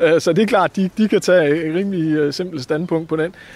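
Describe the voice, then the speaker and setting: Noticeable background noise is present as a man speaks. His pitch is fairly high, with ordinary variation. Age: 40s. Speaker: newspaper correspondent. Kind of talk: interview. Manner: halting, many fillers.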